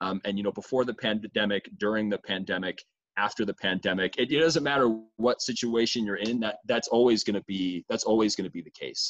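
With an unremarkable speaking voice, a man talks at a fairly quick pace with hardly any pauses, his fairly low pitch showing ordinary variation, in a dry, close sound with no echo. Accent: American. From US Midwest. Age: 20s. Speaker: student and gap year advocate. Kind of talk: interview conversation.

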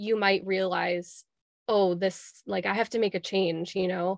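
An ordinary speaking voice with an American accent talks at a fairly slow pace with fairly even intonation. The sound is dry and close, with no echo. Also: woman. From Chicago. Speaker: Reiki master and spiritual coach. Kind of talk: casual interview chat.

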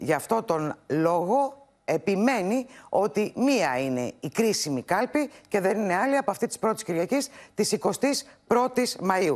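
Vocal fry runs through a voice with very wide pitch swings. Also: woman. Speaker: political reporter. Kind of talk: news report.

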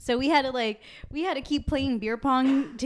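Moving at a moderate pace, a woman's unremarkable speaking voice shows ordinary pitch variation. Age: 20s. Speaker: podcast host. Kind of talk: casual chat.

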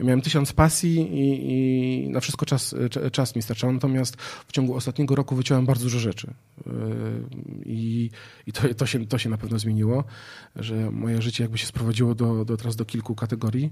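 A man's somewhat breathy voice, dark, mellow tone and medium pitch at a fairly quick pace. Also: ordinary pitch variation, very clean recording, silent background. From northern Poland, Gdańsk area. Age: 30s. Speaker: entrepreneur and public speaker. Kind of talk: casual interview. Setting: outdoor studio.

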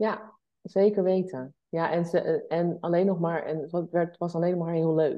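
Her delivery is fairly slow. This woman's intonation holds fairly even throughout. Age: 40s. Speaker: entrepreneur and travelling mother. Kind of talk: podcast interview.

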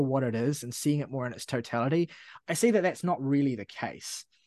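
A man with a New Zealand accent speaks at a fairly quick pace with lively intonation. The sound is dry and close with no echo, over a quiet background. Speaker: music podcast co-host. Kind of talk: casual chat.

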